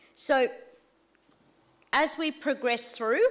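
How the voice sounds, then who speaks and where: A woman speaks loudly at a fairly slow pace. The recording is very clean with a silent background. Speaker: church teacher leading a course. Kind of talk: teaching session.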